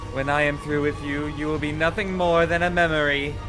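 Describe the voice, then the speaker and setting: A man talks in a put-on character voice, raised and projected, pitched fairly high, in a fairly quick pace. Loud music plays in the background. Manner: threatening.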